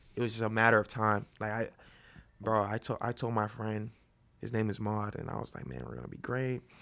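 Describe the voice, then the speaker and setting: With an American accent, a man talks at a fairly quick pace in a fairly low pitch, with fairly even intonation and an unremarkable speaking voice. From Florida (Boynton Beach, Palm Beach County). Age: 20s. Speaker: painter. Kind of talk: casual chat.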